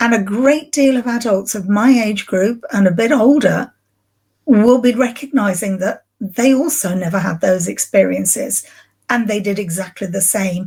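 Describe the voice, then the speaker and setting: A woman with an English accent sounds somewhat breathy at a fairly high pitch. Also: ordinary pitch variation, moderate pace. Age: 60s. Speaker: grief recovery specialist. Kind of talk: podcast interview.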